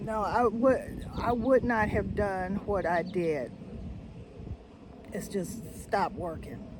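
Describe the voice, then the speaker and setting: A woman speaks at a medium pitch with ordinary pitch variation, at a very slow pace broken by long, frequent pauses. Audible room echo surrounds her voice. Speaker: retiree vlogger. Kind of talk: personal vlog monologue. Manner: casual, halting with fillers.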